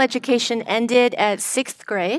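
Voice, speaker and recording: On a very clean recording with a silent background and a dry, close sound with no echo, a woman with an unremarkable speaking voice talks at a fairly slow pace, her fairly high pitch showing ordinary variation. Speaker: professor and moderator. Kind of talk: panel discussion. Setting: stage with audience.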